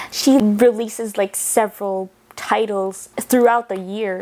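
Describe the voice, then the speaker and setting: Fairly high in pitch, a woman talks in an unremarkable speaking voice. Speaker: book reviewer. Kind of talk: casual vlog talk.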